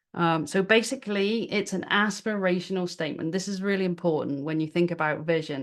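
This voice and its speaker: Against a quiet background, someone with a British accent speaks at a moderate pace with fairly even intonation. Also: woman. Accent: British accent, noticeable. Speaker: business workshop presenter. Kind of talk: webinar presentation. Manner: casual, with many fillers and repetitions.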